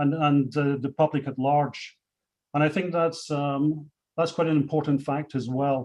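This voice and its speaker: With a Scottish accent, a man talks at a moderate pace in a fairly high pitch and fairly even intonation. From Scotland. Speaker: company executive. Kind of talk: panel speech. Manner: hesitant, many fillers.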